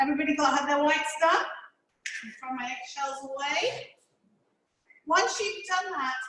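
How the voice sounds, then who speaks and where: A woman uses a raised, projected voice with a high pitch and a bright, sharp tone. Her intonation is lively, and audible echo fills the room. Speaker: cooking teacher. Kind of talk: tutorial. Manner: fast.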